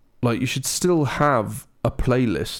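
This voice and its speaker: Here is a man with a British accent. He speaks at a very slow pace. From Britain. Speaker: video game podcast co-host. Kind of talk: casual chat.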